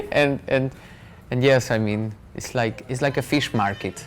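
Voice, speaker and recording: A fairly slow pace with long, frequent pauses, a Hungarian accent and music in the background. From Hungary. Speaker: foreign resident interviewee. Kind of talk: interview. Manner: halting.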